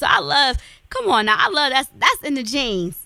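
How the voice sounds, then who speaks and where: A woman with an Alabama accent speaks at a fairly quick pace in an animated, bright, sharp tone. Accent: Southern US (Alabama). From US South. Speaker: radio talk show host. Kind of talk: show outro; casual interview.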